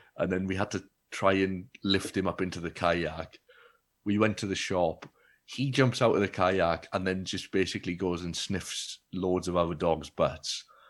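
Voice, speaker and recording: In a South Wales accent, a man speaks with a very deep, low pitch at a moderate pace. His intonation is fairly even, and the recording is very clean with a silent background. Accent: Welsh (South Wales). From Wales (Baglan, Neath Port Talbot). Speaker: comedian. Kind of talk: casual chat.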